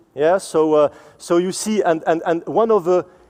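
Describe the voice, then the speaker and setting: Speaking with a French accent, this voice has a dark, mellow tone and ordinary pitch variation. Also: man. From France. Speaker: supply chain executive. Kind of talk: conference presentation. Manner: halting, many fillers and repetitions.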